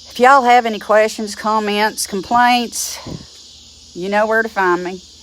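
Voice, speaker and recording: Over noticeable background noise, a woman with an Appalachian accent speaks with fairly even intonation. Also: fairly high pitch for a woman. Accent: Appalachian drawl. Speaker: druid teacher. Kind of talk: teaching talk to camera. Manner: blunt, feisty.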